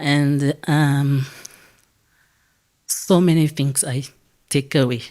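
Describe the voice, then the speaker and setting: A woman's very deep, low-pitched voice with a dark, mellow tone and fairly even intonation. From Mozambique, Maputo. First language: Portuguese. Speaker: retreat participant. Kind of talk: testimony. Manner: halting.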